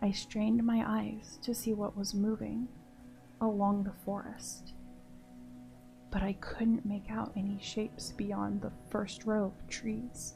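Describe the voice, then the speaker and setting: A woman speaks very slowly while music plays in the background. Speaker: horror story narrator. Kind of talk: horror story narration. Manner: soft-spoken.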